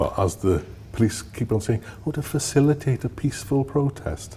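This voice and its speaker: A man speaks with a South Welsh accent. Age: 60s. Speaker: former police officer. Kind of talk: interview testimony.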